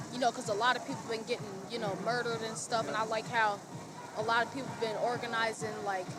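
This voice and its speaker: Music plays in the background as a woman with an American accent speaks. Her pitch is fairly high, with ordinary variation, and her pace is fairly quick. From Saint Paul, Minnesota (Rondo area). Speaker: community resident. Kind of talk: street interview.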